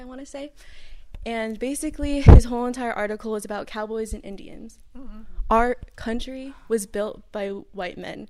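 Against noticeable background noise, a woman speaks at a fairly high pitch and a moderate pace with ordinary pitch variation. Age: 18. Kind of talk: casual family chat.

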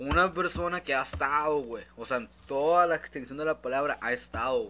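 A man with a Mexican accent. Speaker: podcast co-host. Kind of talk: casual chat.

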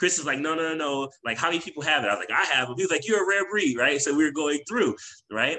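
With vocal fry and a bright, sharp tone, a man talks at a fairly high pitch. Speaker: podcast co-host. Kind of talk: casual conversation between friends.

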